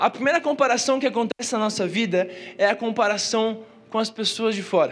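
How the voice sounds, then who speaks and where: Music plays behind a man with a high-pitched voice. He talks fairly quickly, with ordinary pitch variation. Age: 20s. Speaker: youth pastor. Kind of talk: sermon. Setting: church with live audience. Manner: casual slangy delivery. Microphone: PA feedback issues.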